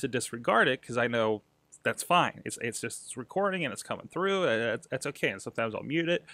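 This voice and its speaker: A man talks at a very fast pace in a bright, sharp tone. The sound is dry with no echo, and the background is quiet. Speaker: podcast host. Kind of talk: casual vlog chat. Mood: reflective, slightly self-critical. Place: home room. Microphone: studio mic.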